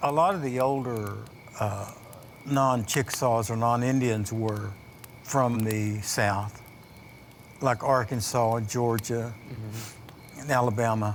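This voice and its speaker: With an American accent, a man speaks at a very slow pace with fairly even intonation. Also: medium pitch for a man. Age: old. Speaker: Chickasaw elder. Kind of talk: oral history storytelling.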